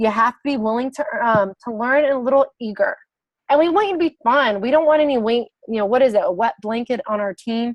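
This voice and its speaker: A woman's voice comes through loud and high, her pitch varying in an ordinary way. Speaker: fitness business coach. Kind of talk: online sales presentation. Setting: video call. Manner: animated.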